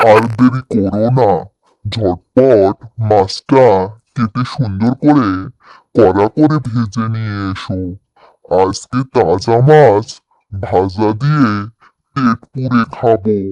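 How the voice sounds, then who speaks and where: In a cartoonish character voice, a man with a medium pitch talks at a very slow pace. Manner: expressive, excitable.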